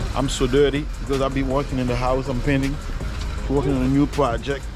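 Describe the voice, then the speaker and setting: Behind the voice, clear music can be heard. No echo colors the dry sound. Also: man. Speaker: family vlogger. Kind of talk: casual vlog chat. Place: street. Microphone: phone near.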